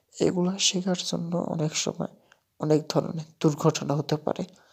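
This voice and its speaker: Flat, monotone speech from a woman with a very deep, low pitch and vocal fry, in a very clean recording with a silent background. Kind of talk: casual video commentary voiceover. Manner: informal, chatty.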